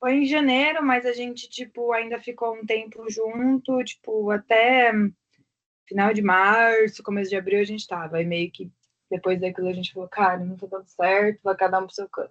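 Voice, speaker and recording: A woman talks in a normal speaking voice at a fairly high pitch, with ordinary pitch variation and a moderate pace. The sound is dry and close with no echo, and her loudness swings a lot. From Brazil, São Paulo metro area. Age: 20s. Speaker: interviewee, consumer. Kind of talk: interview.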